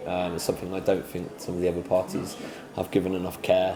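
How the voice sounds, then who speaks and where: Noticeable background noise and audible room echo surround a man's very deep, low voice. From southwest England (North Somerset, from age eight; early childhood in London). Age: 20s. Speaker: parliamentary candidate. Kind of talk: interview. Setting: coffee shop. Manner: hesitant, many fillers (um, sort of).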